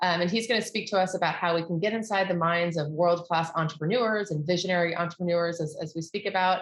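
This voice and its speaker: A woman with an American accent talks in a somewhat breathy voice. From United States. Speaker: event host. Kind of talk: webinar interview. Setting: online event.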